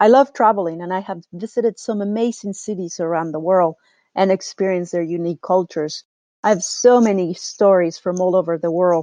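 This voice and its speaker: In a Mexican accent, this dark, mellow voice talks at a fairly quick pace with ordinary pitch variation, heard dry and close with no echo over a quiet background. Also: woman, medium pitch for a woman. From Mexico. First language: Spanish. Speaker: real estate agent and podcast host. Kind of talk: scripted podcast monologue.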